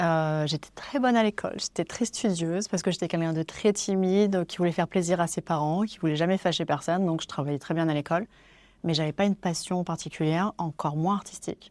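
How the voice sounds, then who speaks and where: A woman's ordinary speaking voice, fairly low with ordinary pitch variation and a fairly quick pace, on a very clean recording with a silent background. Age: 40s. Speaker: wedding photographer. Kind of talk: interview. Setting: in person, Paris.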